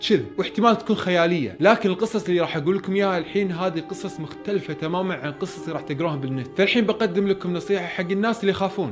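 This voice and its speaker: Over music in the background, the voice shows ordinary pitch variation. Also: man. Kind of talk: horror story narration. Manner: casual, conversational.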